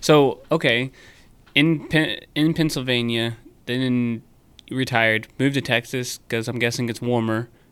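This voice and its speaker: With fairly even intonation, a man speaks fairly slowly at medium pitch in an unremarkable speaking voice. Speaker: podcast host. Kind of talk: casual interview.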